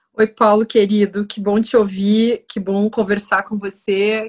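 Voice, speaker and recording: In a very clean recording with a silent background, a woman speaks at a very slow pace with a fairly high pitch. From Brazil. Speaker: writer and philosopher. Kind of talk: casual interview conversation.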